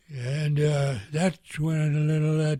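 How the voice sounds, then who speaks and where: A man's voice sounds somewhat breathy and fairly high in pitch. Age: 80s+. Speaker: war veteran. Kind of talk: interview answer. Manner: hesitant, halting.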